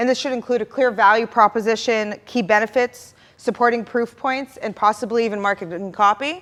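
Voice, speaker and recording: A woman at a fairly high pitch and fairly quick pace, with fairly even intonation. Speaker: product marketing manager, conference speaker. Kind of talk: conference workshop talk. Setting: stage with audience. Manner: fast.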